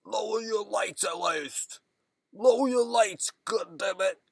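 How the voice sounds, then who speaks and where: Shouting in a put-on character voice, a man sounds raspy and high-pitched, going at a fairly slow pace with lively intonation. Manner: angry, sudden shouting.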